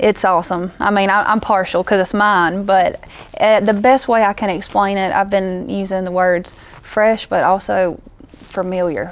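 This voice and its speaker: A woman speaks at a medium pitch with a Southern US accent. Her pace is moderate and her intonation fairly even. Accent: country Southern. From US South, northeast Louisiana. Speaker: country singer-songwriter. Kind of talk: interview. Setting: festival interview.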